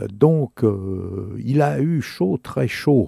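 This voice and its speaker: Very slowly, a man talks in a dark, mellow tone with lively intonation. The sound is dry and close, without echo. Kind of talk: radio dj patter, introducing and back-announcing blues tracks. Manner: warm, relaxed, affectionate and chatty, familiar tone with listeners.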